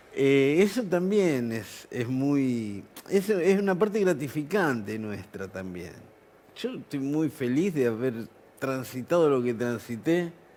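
A very slow man's voice in a Rioplatense accent, fairly high in pitch, dark and mellow in tone, with very wide pitch swings. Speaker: musician. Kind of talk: casual chat.

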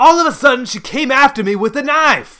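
A man's put-on character voice, extremely high-pitched, bright and sharp, with lively intonation at a fairly quick pace.

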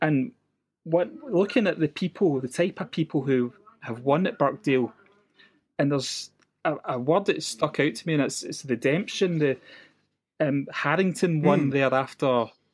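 A man with a west coast Scottish accent and fairly high pitch, at a moderate pace with ordinary pitch variation and long, frequent pauses, on a very clean recording with a silent background. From west coast of Scotland. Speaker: golf fan guest. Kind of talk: casual chat.

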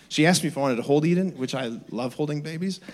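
Speaking at a very fast pace, a man sounds animated. His pitch varies in an ordinary way. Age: 30s. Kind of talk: energetic youth-camp homily at a closing Mass, preached to teens and parents. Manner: animated, conversational and repetitive, with audience call-and-response.

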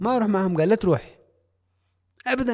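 A man at a very fast pace

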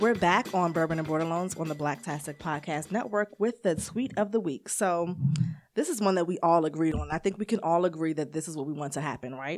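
A woman's fairly low voice with an American accent at a fairly quick pace, ordinary pitch variation, on a very clean recording with a silent background. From Maryland, Prince George's County. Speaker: podcast co-host. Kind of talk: casual chat. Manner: animated.

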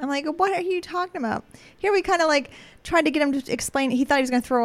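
She talks at a very fast pace. Her voice sits high for a woman. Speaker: podcast host. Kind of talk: casual chat. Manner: laughs often, supportive listener.

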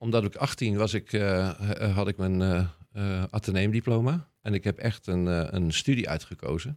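In a Rotterdam accent, a man with a fairly low pitch talks at a moderate pace with ordinary pitch variation and very even loudness, the sound dry and close with no echo on a very clean recording with a silent background. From Rotterdam, Netherlands. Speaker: scientist. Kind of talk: casual interview.

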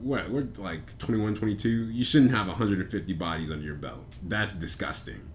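A fairly low-pitched, somewhat breathy man's voice, fairly slow, with lively intonation and audible room echo. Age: 20s. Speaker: podcast co-host. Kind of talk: casual chat.

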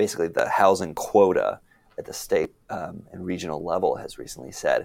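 In an American accent, a man speaks at a fairly slow pace in an unremarkable speaking voice with a fairly low pitch. The recording is very clean, with a silent background. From North Texas (Arlington). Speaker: urban policy expert. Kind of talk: interview.

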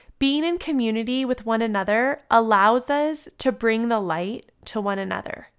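At a moderate pace and with hardly any pauses, a woman with an American accent speaks in an ordinary speaking voice at a fairly high pitch. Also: lively intonation. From US West Coast (San Diego, California). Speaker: yoga teacher and devotional podcaster. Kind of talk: devotional reading. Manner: warm, gentle.

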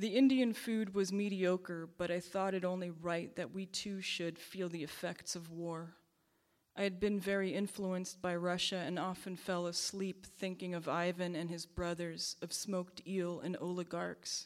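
In a plain, everyday voice, a woman speaks at a moderate pace with medium pitch and fairly even intonation. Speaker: poet. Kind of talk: poetry reading. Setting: live reading at church venue.

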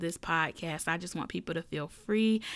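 Recorded very cleanly against a silent background, a woman speaks with a Southern US accent in a fairly low pitch. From US South. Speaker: podcast host. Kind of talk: casual monologue. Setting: home recording room. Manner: animated.

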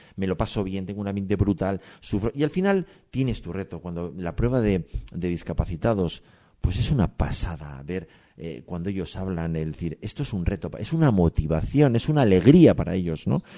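A man speaks at a fairly quick pace in a very deep, low voice with a dark, mellow tone and lively intonation. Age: 50s. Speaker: amateur mountain biker. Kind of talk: interview. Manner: halting.

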